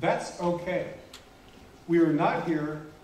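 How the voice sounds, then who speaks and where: This man has a high pitch and speaks at a fairly slow pace. Noticeable background noise and audible room echo surround him. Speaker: conference speaker, stuttering advocate. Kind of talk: keynote speech. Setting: conference hall with audience. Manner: slow, pausing for interpreter.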